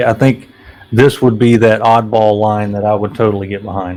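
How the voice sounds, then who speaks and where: A man with a Southern US accent, medium in pitch and monotone in intonation, over noticeable background noise. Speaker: toy collector YouTuber on a panel. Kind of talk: casual chat.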